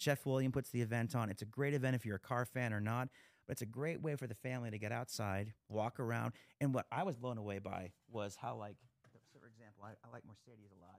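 A man in an American accent at a very fast pace, with big swings in loudness and a dry, close sound with no echo. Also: medium pitch for a man, ordinary pitch variation, very clean recording, silent background. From Pennsylvania. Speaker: podcast host, talent agent and guitarist. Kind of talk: casual interview chat. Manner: halting, many fillers.

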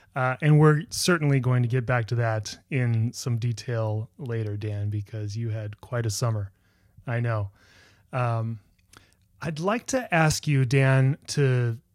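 Speaking at a very slow pace, a man with a medium pitch shows ordinary pitch variation. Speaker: podcast host. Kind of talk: interview conversation, friendly. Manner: warm, enthusiastic.

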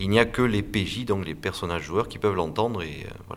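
With a fairly low pitch and normal pitch movement, a man talks at a fairly quick pace. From south-west France, Landes. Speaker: audio saga creator and game designer. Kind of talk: interview. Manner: halting, with many repetitions.

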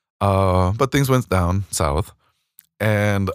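A man speaks with an American accent in a very deep, low pitch. The recording is very clean, with a silent background. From Houston area, Texas. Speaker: school administrator. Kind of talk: casual interview.

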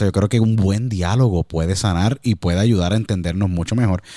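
Recorded very cleanly against a silent background, a man with a dark, mellow tone talks at a fairly quick pace in a dry, close sound with no echo. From Puerto Rico, San Juan. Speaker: podcast host and former sports radio broadcaster. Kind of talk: interview conversation.

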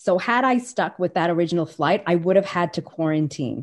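A plain, everyday voice with a Canadian accent, at a fairly quick pace. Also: woman. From Calgary, Alberta, Canada. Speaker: graduate student. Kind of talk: casual interview conversation.

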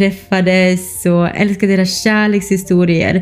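A woman's medium-pitched voice at a moderate pace, with monotone, flat intonation. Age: 20s. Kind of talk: casual monologue.

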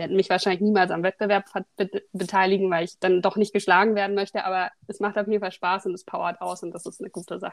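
The delivery is very fast, with monotone, flat intonation. The sound is dry and close, with no echo. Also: woman, medium pitch for a woman. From Berlin, Germany. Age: 30s. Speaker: podcast co-host, doctoral researcher. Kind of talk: casual chat.

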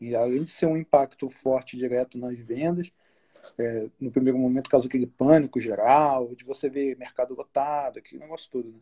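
A man speaks at a moderate pace in a medium pitch, his dark, mellow tone carrying fairly even intonation through big swings in loudness, and the sound is dry and close with no echo. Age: 30s. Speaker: graphic designer. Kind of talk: casual chat.

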